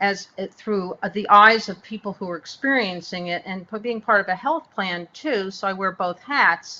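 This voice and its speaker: An ordinary speaking voice belongs to this woman, pitched at a medium level. She talks at a moderate pace with ordinary pitch variation. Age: 60s. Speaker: health plan executive. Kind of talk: webinar panel discussion. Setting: online webinar.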